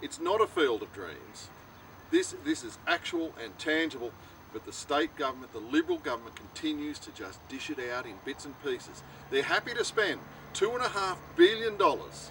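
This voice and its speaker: Amid noticeable background noise, a man's voice shows big swings in loudness. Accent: Australian. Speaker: political candidate. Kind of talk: campaign speech to camera. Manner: impassioned.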